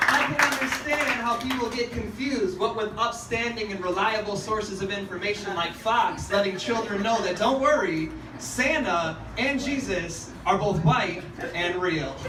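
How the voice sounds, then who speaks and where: Through noticeable background noise, a man with a high pitch speaks in a raised, projected voice. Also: ordinary pitch variation, moderate pace. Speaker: spoken word poet. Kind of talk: spoken word poetry performance. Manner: sardonic, passionate, pointed.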